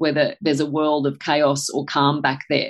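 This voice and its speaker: An Australian-accented woman speaks at a moderate pace. Her voice is very deep and low. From Australia, country New South Wales. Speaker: nutritional biochemist. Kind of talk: interview.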